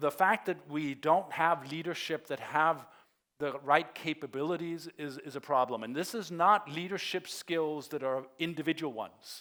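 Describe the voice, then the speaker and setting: A man's fairly high voice with a Danish accent, moderate pace and ordinary pitch variation, on a very clean recording with a silent background. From Denmark. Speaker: conference keynote speaker. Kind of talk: keynote presentation. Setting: stage with audience.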